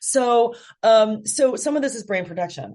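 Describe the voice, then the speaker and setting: Over a quiet background, a woman with a dark, mellow tone makes very wide pitch swings. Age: 40s. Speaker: novelist. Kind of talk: interview. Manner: hesitant, many fillers.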